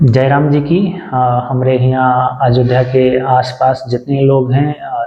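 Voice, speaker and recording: In an Awadh accent, a man talks at a medium pitch with a somewhat breathy voice. His intonation stays monotone and flat. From Ayodhya area, Uttar Pradesh, India. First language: Awadhi (speaking Hindi). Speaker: vlogger. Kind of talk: casual vlog talk to camera. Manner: halting, many fillers.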